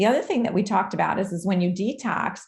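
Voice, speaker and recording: A woman's voice of medium pitch comes across somewhat breathy. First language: not English. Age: 40s. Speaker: doctor. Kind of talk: live Q&A.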